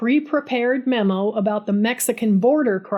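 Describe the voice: The speaker is plainly reading aloud. Pitch varies in an ordinary way.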